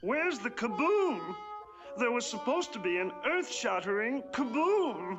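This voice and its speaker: In a put-on character voice, the speaker sounds nasal, soft-spoken and fairly high-pitched. The pace is moderate, with clear music in the background. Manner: aggrieved, indignant.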